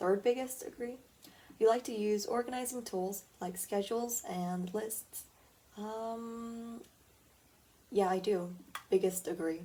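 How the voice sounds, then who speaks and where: Quiet and fairly slow, a woman speaks with ordinary pitch variation. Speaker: podcast host. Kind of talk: casual solo podcast, taking a quiz aloud. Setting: at home, early morning. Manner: quiet tone.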